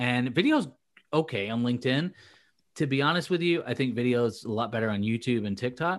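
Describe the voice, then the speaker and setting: A man with a plain, everyday voice speaks at medium pitch and a fairly quick pace, with ordinary pitch variation and a quiet background. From England, moved to US in 2000. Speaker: LinkedIn content coach for recruiters. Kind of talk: casual interview chat. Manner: many fillers and restarts.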